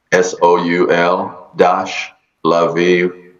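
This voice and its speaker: A man with an Israeli accent. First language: Hebrew. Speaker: shamanic energy healer. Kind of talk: interview. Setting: video call. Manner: halting.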